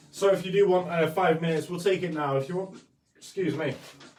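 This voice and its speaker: Speaking with an English accent, a man talks at a moderate pace in a fairly high pitch. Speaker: art tutorial streamer. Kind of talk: tutorial. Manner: halting.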